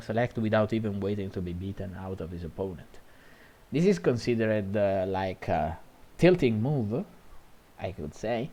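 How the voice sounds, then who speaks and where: A man speaks with an Italian accent at a moderate pace. His tone is dark and mellow, his pitch fairly low. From Italy. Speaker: gaming commentator. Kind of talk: video game match analysis. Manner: halting, frequent fillers and self-corrections.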